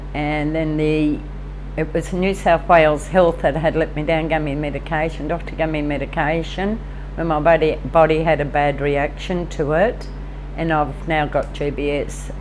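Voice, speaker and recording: Over noticeable background noise, a woman speaks at a moderate pace in a very deep, low pitch with monotone, flat intonation. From Tamworth, New South Wales, Australia. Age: 60s. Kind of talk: interview answer.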